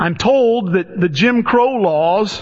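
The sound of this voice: The man's voice sits at a high pitch. It rises and falls by an ordinary amount.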